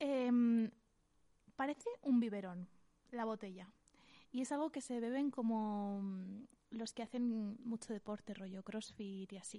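A woman speaks at a fairly slow pace with a dark, mellow tone and ordinary pitch variation. Long, frequent pauses break up her speech. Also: fairly high pitch for a woman. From Valencian Community, Spain. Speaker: podcast co-host. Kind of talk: casual chat.

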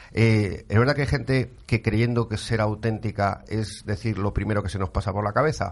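A man's fairly low, vocal-fry voice at a fairly quick pace with hardly any pauses. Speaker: radio host. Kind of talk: radio talk show. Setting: studio. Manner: animated.

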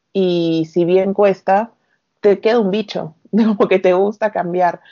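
A woman's medium-pitched voice at a fairly slow pace, monotone and flat in intonation. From Peru, Arequipa (south). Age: 30s. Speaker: recruiter and long-term traveller. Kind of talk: casual interview.

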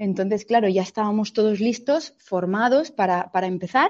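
Pitch variation here is ordinary. The speaker has a plain, everyday voice. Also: woman. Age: 30s. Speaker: fashion entrepreneur. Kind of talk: interview.

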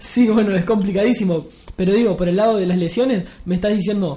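A fairly quick, high-pitched male voice with a Uruguayan accent and ordinary pitch variation. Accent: Rioplatense Spanish (Uruguayan). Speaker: podcast host. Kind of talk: casual chat. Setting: studio.

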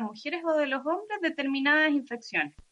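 A woman speaks at a fairly quick pace in a high, bright, sharp voice that is raised and projected. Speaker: podcast host. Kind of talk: interview. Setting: live stream video call.

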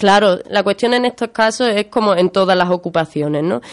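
A woman with an ordinary speaking voice talks at a moderate pace, her pitch medium with ordinary variation. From Spain, Málaga (Andalusia). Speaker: land occupation activist, union member. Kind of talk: radio interview.

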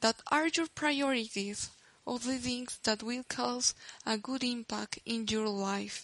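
Speaking very slowly, a woman with a high voice and a Spanish accent keeps her intonation fairly even. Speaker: podcaster. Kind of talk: personal monologue podcast.

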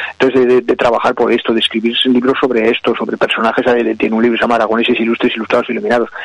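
Over noticeable background noise, a man talks very fast at a medium pitch in a flat monotone, with hardly any pauses and very even loudness. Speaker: cultural commentator. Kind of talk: casual chat.

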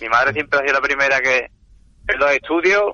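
A man with a fairly high pitch, a plain, everyday voice, and ordinary pitch variation. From Andalusia, Seville province. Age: 40s. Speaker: chef and family restaurant owner. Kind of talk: interview.

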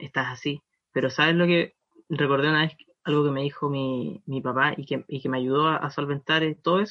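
At a fairly quick pace, a man with a Chilean accent talks in a fairly high voice with fairly even intonation. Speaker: podcast co-host. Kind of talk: casual chat.

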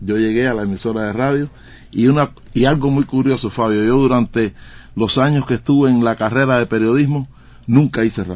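Fairly level in intonation and rather brisk, this is an unremarkable speaking voice. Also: man, medium pitch for a man. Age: 60s. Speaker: radio journalist. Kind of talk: interview.

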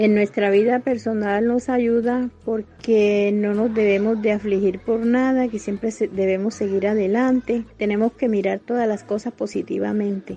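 A woman with a fairly high, dark, mellow voice speaks fairly slowly in a monotone, flat way, with hardly any pauses. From Colombia, Antioquia (Zaragoza). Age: 60s. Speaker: small business owner, baker. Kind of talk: personal testimony.

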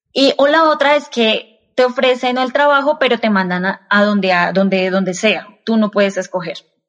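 With lively intonation and very even loudness, a woman speaks at a fairly high pitch and a moderate pace. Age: 30s. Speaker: industrial engineer. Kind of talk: casual interview. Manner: halting, many fillers and repetitions.

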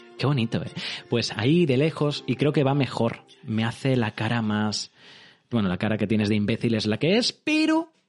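Over music in the background, a man talks at a moderate pace with a medium pitch, ordinary pitch variation and an animated tone. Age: 30s. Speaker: live streamer. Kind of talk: casual livestream chat.

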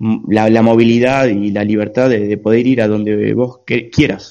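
This man has a medium pitch and a dark, mellow tone. He speaks at a fairly slow pace with fairly even intonation. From Argentina. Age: 20s. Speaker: long-distance cycle traveller. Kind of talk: interview. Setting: video call.

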